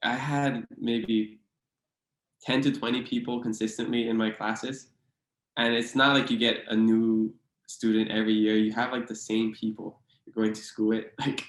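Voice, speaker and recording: The voice has a Hawaiian accent. Its intonation is monotone and flat. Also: man, medium pitch for a man, moderate pace. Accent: Hawaii local English. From Hawaii (Hilo, Big Island). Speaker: author and podcast guest. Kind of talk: casual interview chat.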